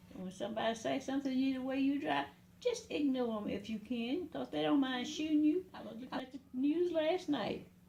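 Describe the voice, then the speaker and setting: Noticeable background noise sits under the speech. The speaker moves at a moderate pace with lively intonation. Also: woman. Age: 80s+. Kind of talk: interview answer. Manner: casual, conversational.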